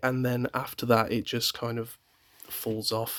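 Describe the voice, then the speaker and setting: A man speaks with a British accent. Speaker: YouTuber. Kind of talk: casual chat. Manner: hesitant.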